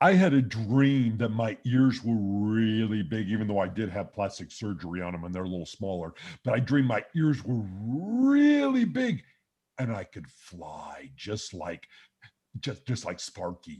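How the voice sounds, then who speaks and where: Against a quiet background, a man puts on a cheerful character voice at a medium pitch and a moderate pace. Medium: game stream. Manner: cheerful, simple.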